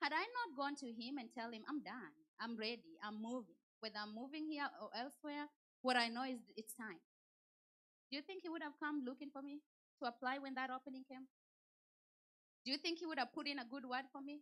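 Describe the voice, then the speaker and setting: With a Kenyan accent, a woman speaks at a high pitch in a bright, sharp, animated tone, with ordinary pitch variation, a fairly quick pace, and long, frequent pauses. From Kenya, Nairobi. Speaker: church speaker. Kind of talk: motivational talk.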